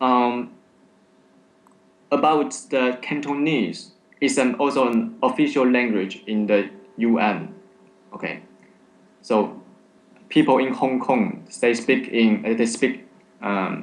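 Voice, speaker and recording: A man speaks at a very slow pace with a Chinese accent, leaving long, frequent pauses. Audible echo fills the room. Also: medium pitch for a man, ordinary pitch variation. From China. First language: Mandarin Chinese. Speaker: vape company representative. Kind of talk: casual chat. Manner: halting.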